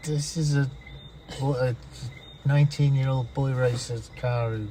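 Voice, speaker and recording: A man at medium pitch, fairly slow and monotone with flat intonation, over noticeable background noise. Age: 50s. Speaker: travel companion. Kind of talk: casual chat.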